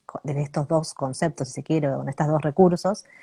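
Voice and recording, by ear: Speaking at a fairly quick pace, a woman with a low pitch has a dark, mellow tone, a slightly husky edge and vocal fry, with fairly even intonation and a dry, close sound with no echo.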